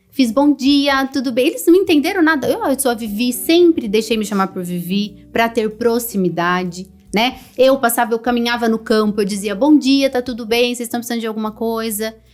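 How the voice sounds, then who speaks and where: A woman's high voice with lively intonation over music in the background. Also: hardly any pauses. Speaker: HR executive and mentor. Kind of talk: podcast interview. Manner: loud; fast.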